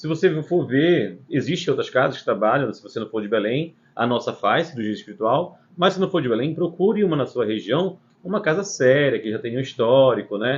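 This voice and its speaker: Somewhat breathy and at a fairly quick pace, a man speaks with a fairly high pitch that makes very wide swings. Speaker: spiritist center host answering questions. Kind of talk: live Q&A.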